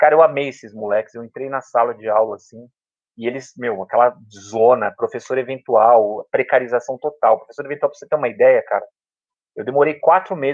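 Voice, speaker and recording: A man talks at a fairly quick pace with a medium pitch. His is a plain, everyday voice. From São Paulo, south zone periphery. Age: 40s. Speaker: public school teacher. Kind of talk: casual interview chat. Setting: at home.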